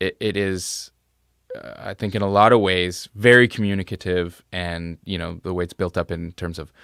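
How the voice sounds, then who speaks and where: The recording is very clean, with a silent background. The sound is dry and close with no echo, and the pace is moderate. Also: man. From central Canada. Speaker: musician. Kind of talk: live stream Q&A chat. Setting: live stream.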